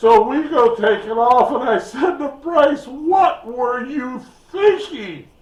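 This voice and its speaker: Noticeable background noise accompanies a man with an extremely high pitch. His intonation is lively and his pace very slow. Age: 60s. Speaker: YouTube storyteller. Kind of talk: casual storytelling.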